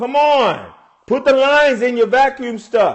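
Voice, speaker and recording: A man shouts loudly in an animated tone at an extremely high pitch, keeping ordinary pitch variation and a fairly slow pace. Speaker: relationship advice livestreamer. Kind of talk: casual livestream talk. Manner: animated, preachy; loud, yelling.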